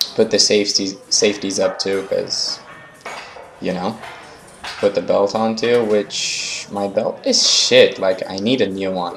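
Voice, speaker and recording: A man talks rather slowly while clear background noise carries on behind him. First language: not English. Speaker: fitness vlogger. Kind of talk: voice-over commentary on workout footage. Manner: casual, hesitant with fillers.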